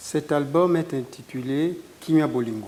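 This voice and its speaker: A man's voice with ordinary pitch variation. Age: 60s. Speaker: guitarist. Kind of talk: interview.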